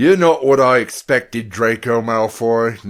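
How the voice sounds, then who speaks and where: Gruff, put-on character voice from a man, medium in pitch, at a moderate pace. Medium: read story.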